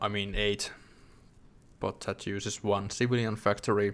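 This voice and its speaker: Over music in the background, a man with a non-native accent speaks in a fairly low pitch with monotone, flat intonation. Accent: non-native English, self-noted. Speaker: gaming YouTuber. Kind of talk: gameplay commentary. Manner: halting, self-correcting.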